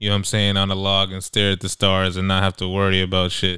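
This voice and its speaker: Recorded very cleanly against a silent background, a man speaks in a fairly low pitch with a bright, sharp tone. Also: dry, close sound with no echo. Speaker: podcast co-host. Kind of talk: casual podcast chat.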